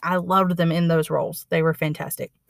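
Fairly quick and fairly low in pitch, a woman speaks in a normal speaking voice, with a very clean recording and a silent background. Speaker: library staff podcast host. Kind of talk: scripted narration.

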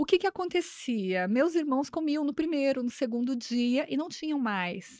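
A woman speaks with a high pitch at a moderate pace. The recording is very clean, with a silent background. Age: 40s. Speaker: businesswoman, franchise owner. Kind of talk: interview, casual chat.

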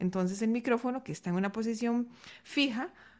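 A woman with a normal speaking voice talks at a fairly quick pace with lively intonation over a quiet background. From Costa Rica. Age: 30s. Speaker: singing teacher and breathing coach. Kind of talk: interview.

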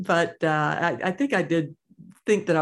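A woman's voice with vocal fry and an American accent, in a very clean recording with a silent background. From US South, Georgia (Atlanta suburbs). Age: 50s. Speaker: author and hiker. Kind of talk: interview.

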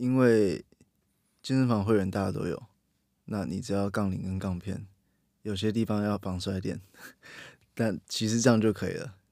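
On a very clean recording with a silent background, a man speaks at a moderate pace. His fairly low voice shows ordinary pitch variation. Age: 20s. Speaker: strength and weightlifting coach. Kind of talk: casual chat.

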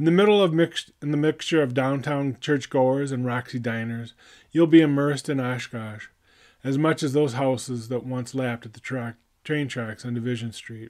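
This is a man with a plain, everyday voice at medium pitch. He uses ordinary pitch variation at a moderate pace on a very clean recording with a silent background. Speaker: poet laureate and podcaster. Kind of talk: poetry reading, spoken-word style, reflective and heartfelt. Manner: measured, earnest, contemplative.

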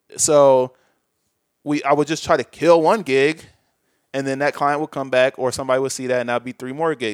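A man with an American accent speaks in an unremarkable speaking voice at a medium pitch and moderate pace, with ordinary pitch variation. The recording is very clean with a silent background, and the sound is dry and close with no echo. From US Midwest, Chicago suburbs. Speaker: video editor and VFX artist. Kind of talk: casual interview chat.

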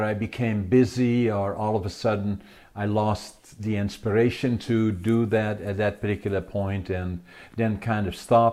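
Against a quiet background, a man with a Dutch accent speaks in a fairly low pitch with a dark, mellow tone. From Netherlands. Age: 80s+. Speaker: author and entrepreneur. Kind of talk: interview.

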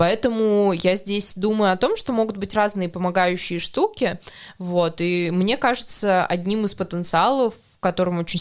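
Moderately paced and medium in pitch, this woman's unremarkable speaking voice has ordinary pitch variation. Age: 20s. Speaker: podcast host. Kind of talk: casual chat.

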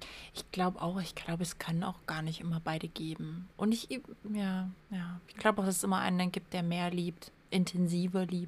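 A woman talks at a moderate pace in a fairly low, somewhat breathy voice. Her intonation is monotone and flat, while her loudness swings widely. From Saxony, Erzgebirge. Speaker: podcast co-host. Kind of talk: casual chat.

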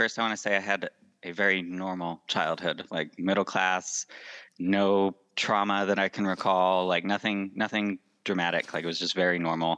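Speaking with a Western US accent, a man has a fairly low pitch and a bright, sharp tone at a moderate pace. The sound is dry and close with no echo over a quiet background. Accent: American (Western US). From Utah. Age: 20s. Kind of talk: interview.

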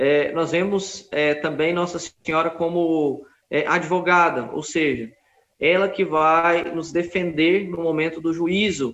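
A man's high-pitched voice at a very slow pace with fairly even intonation. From Brazil, Goiânia. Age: 30s. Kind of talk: interview on religious topics.

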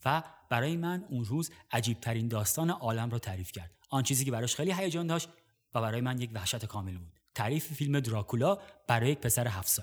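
Somewhat breathy, a man speaks very fast at medium pitch with lively intonation on a very clean recording with a silent background. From Iran, Gorgan. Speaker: podcast host, cinema narrator. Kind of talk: scripted narration; personal storytelling.

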